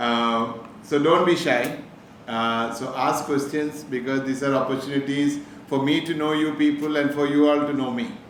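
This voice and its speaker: A man with a Keralan accent speaks at a moderate pace, fairly high in pitch and with fairly even intonation, amid noticeable background noise and audible room echo. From Kerala, India (Calicut). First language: Malayalam. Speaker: businessman, motivational speaker. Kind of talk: inspirational talk to students.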